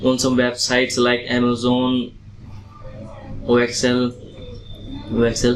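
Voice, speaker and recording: Noticeable background noise sits under this recording. A man at medium pitch talks at a very slow pace. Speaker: IELTS test candidate. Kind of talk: exam interview answers.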